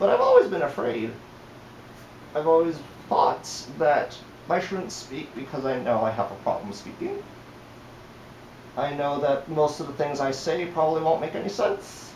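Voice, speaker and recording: A man at a moderate pace with ordinary pitch variation, plus audible room echo and noticeable background noise. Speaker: fursuit vlogger. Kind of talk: casual vlog monologue. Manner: halting.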